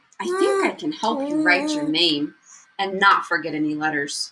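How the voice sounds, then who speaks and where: A put-on character voice, female-sounding, at medium pitch and a moderate pace. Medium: read story.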